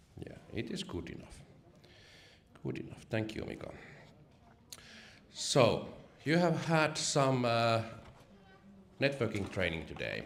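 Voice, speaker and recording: The voice has vocal fry and very wide pitch swings at a fairly slow pace. Long, frequent pauses break it up, and room echo is audible. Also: man, medium pitch for a man, big swings in loudness. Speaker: event speaker, networker. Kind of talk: live talk to an audience. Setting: stage with audience, university lobby.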